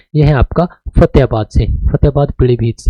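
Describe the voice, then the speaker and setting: A man talks at a moderate pace, somewhat breathy, with a dark, mellow tone. The sound is dry and close, with no echo. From Haryana, Kaithal. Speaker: teacher. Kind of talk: lecture. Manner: casual, conversational.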